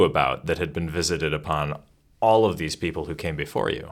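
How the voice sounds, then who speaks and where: The speaker is a man with lively intonation. He moves at a fairly quick pace. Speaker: podcast host. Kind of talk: scripted intro and interview.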